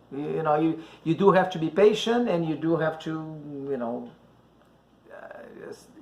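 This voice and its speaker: With a Brazilian accent, a man speaks at a moderate pace and fairly high pitch, with ordinary pitch variation and long, frequent pauses. His loudness swings a lot, and there is noticeable background noise. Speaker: dating advice host. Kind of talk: casual chat. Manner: halting, many fillers.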